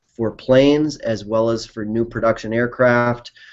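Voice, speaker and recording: A man with an Upper Midwest accent, medium pitch, and a moderate pace. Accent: Upper Midwest American. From Wisconsin, US. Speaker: company CEO. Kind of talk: interview. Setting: video call.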